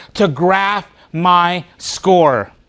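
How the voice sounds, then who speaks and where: A man speaks with a Spanish accent at a high pitch. His tone is animated. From Spanish-speaking country, moved to US as a child. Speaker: motivational speaker. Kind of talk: keynote speech.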